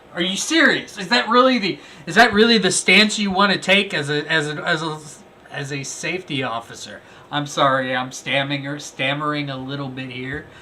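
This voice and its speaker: A man talks at a fairly quick pace with a fairly high pitch and lively intonation. His loudness swings widely, and background noise is noticeable. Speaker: first amendment auditor and video commentator. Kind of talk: video commentary review. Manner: animated.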